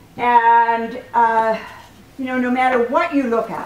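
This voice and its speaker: Audible room echo around a woman speaking at a high pitch. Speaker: women's rights organization co-chair. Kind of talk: welcome speech. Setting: room with audience, no microphone. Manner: loud; halting.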